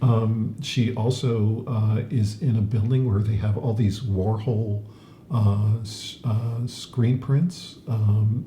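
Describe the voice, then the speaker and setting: Over noticeable background noise and audible room echo, a man speaks at a medium pitch with fairly even intonation. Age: 70s. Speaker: podcast co-host. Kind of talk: casual chat. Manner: halting, many fillers.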